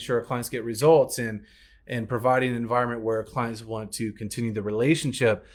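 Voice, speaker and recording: With an American accent and a medium pitch, a man talks on a very clean recording with a silent background. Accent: Southern accent, comes out at times. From US South, Alabama. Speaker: business coach. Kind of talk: business training talk.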